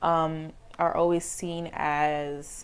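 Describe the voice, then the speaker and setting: A woman speaks at a fairly low pitch. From outside the US, moved to the US as a child. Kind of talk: interview. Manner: casual, filler-heavy.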